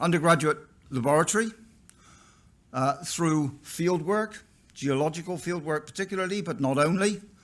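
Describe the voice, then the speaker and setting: A man with a West Country accent speaks at a fairly high pitch and a moderate pace, with ordinary pitch variation. He leaves long, frequent pauses. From England, Somerset (West Country). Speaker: professor. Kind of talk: keynote lecture. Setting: conference stage with audience.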